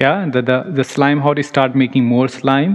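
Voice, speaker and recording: A man is speaking. He goes at a fairly quick pace. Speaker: ayurveda lecturer. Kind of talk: lecture. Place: hall.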